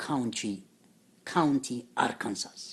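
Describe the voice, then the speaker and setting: A man's very slow, medium-pitched speech with an Ethiopian accent. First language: Amharic. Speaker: religious teacher. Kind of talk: lecture. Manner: halting, many fillers.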